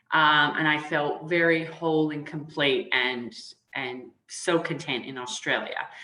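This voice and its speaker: A woman speaks slowly with a very deep, low pitch and fairly even intonation. Her tone is bright and sharp, and there is audible room echo. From Canada. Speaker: human resources consultant. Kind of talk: interview.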